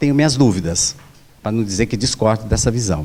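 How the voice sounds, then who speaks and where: This man's voice has a dark, mellow tone and very wide pitch swings. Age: 60s. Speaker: professor and union election candidate. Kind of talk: debate. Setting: auditorium with microphone, recorded debate.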